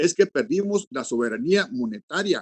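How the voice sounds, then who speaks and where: Recorded dry and close with no echo, a man talks at a fairly quick pace with lively intonation. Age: 70s. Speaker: forum participant on rural policy. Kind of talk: virtual forum statement. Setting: video call.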